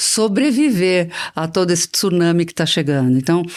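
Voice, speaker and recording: The speech moves at a moderate pace. The recording is very clean with a silent background. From Brazil, interior of São Paulo state. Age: 60s. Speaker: business executive and board member. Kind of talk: interview.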